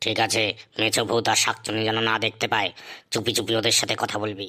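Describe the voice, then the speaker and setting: Using a cartoonish character voice, a man talks fairly quickly in a raspy, monotone, flat delivery at medium pitch. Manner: gruff, irritable.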